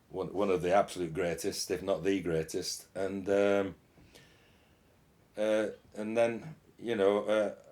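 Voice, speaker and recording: Speaking fairly slowly with long, frequent pauses, a man with a Yorkshire accent keeps a fairly low pitch and fairly even intonation. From Yorkshire, northern England. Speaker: euphonium player. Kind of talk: interview. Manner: halting.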